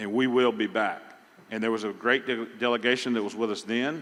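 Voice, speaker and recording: With a Southern US accent, a man speaks fairly quickly at medium pitch and with fairly even intonation. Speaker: pecan industry representative. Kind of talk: conference panel talk. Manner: halting.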